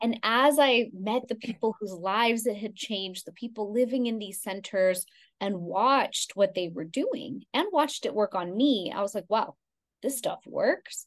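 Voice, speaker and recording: In an American accent, a woman speaks at a moderate pace with a fairly high pitch. She has an ordinary speaking voice with ordinary pitch variation. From Texas, Houston. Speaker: Ayurvedic practitioner. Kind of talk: interview.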